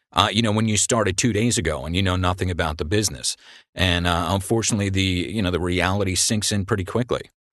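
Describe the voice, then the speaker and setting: A man's very deep, low voice at a very fast pace, very even in loudness, over a quiet background. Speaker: voiceover professional. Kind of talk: interview.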